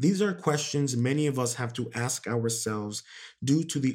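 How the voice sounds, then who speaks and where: A normal speaking voice from a man, pitched medium, with ordinary pitch variation and a moderate pace. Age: 20s. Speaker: podcast host. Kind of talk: motivational monologue. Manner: casual with many fillers.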